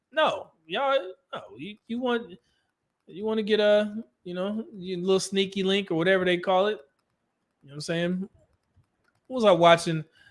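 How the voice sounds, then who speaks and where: A high-pitched man with a Californian accent, lively intonation and a moderate pace. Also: long, frequent pauses, big swings in loudness. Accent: California. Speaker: livestream commentator on relationships. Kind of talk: casual livestream talk reading super chats.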